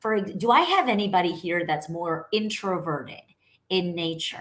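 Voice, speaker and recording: In a New York accent, a woman speaks in an animated tone at a moderate pace. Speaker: sales coach. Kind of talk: online coaching talk. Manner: loud.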